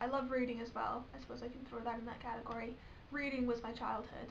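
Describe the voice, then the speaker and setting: Over noticeable background noise and audible room echo, a woman talks very fast in a high pitch with flat, monotone intonation. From England. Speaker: vlogger. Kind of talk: casual vlog. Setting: bedroom.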